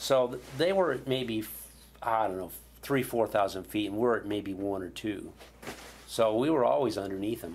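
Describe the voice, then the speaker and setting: Speaking at a moderate pace, a man has a plain, everyday voice with medium pitch and ordinary pitch variation. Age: 60s. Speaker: Vietnam veteran pilot. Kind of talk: interview. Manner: casual, conversational.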